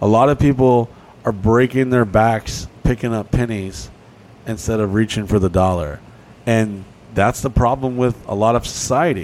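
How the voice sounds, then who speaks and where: This man has an unremarkable speaking voice at medium pitch. He moves at a moderate pace with ordinary pitch variation. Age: 30s. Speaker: podcast co-host. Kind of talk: casual chat.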